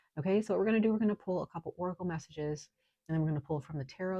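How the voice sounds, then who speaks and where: This woman's voice has a dark, mellow tone, a somewhat breathy quality and ordinary pitch variation over a quiet background. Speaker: tarot reader. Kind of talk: tarot reading. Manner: halting.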